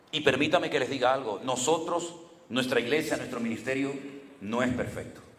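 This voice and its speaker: The speaker is male and keeps a moderate speed. Echo from the room can be heard. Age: 60s. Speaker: pastor. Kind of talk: sermon.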